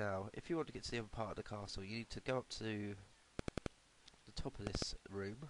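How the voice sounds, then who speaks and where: With a British accent, a man talks at a moderate pace and a fairly low pitch. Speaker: retro game reviewer. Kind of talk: casual game review voice-over. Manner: hesitant, many fillers.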